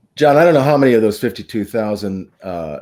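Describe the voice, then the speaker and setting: An ordinary speaking voice from a man, fairly low-pitched with ordinary pitch variation, on a very clean recording with a silent background. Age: 60s. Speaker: horse racing show host. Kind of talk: casual chat.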